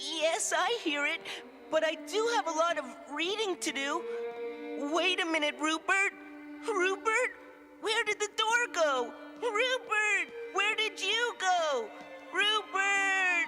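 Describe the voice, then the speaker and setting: Against clear background music, a cartoonish character voice talks at an extremely high pitch and a fairly slow pace. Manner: nervous, dry-humored.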